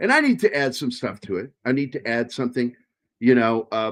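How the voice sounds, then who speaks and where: A man speaks at a fairly quick pace. He talks with an American accent. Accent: Virginia accent, stronger when tired. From Virginia, US. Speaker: podcast co-host and writer. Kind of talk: casual chat.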